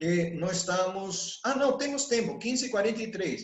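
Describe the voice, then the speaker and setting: This man's delivery is fairly slow. Lively intonation runs through his speech. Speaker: sales mentor. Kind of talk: online mentoring session.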